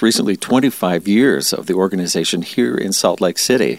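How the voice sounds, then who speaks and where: A plain, everyday voice from a man, with ordinary pitch variation and a moderate pace. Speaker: radio host. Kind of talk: interview.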